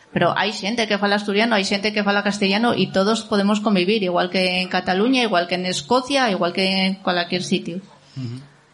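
A woman at medium pitch and a fairly quick pace, with ordinary pitch variation and noticeable background noise. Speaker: poet. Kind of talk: casual chat. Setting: stage with audience.

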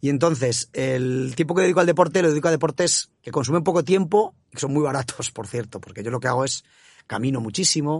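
A man's somewhat breathy voice moves at a fairly quick pace, rising and falling in a lively way. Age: 50s. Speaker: bank executive. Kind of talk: interview. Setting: studio.

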